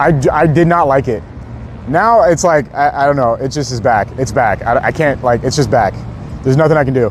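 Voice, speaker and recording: With noticeable background noise behind him, a fairly high-pitched man delivers lively intonation at a fairly quick pace. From US, Southern parents (Arkansas, Louisiana). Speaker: live streamer. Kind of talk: live street reporting stream. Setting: outdoors on street at night. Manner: fast; casual, chatty.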